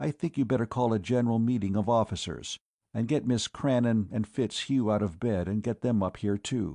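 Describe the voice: Here is plain reading aloud with fairly even intonation. The background stays quiet.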